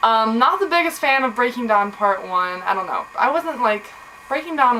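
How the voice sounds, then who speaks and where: A woman's pitch swings very widely as she talks at a moderate speed amid clearly audible background noise. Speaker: book vlogger. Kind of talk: casual vlog monologue.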